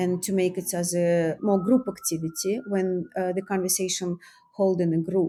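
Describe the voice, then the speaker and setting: This woman's voice sits at a medium pitch, with a dark, mellow tone. She speaks at a moderate pace in a very clean recording with a silent background. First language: not English. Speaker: artist and author. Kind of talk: interview. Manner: halting.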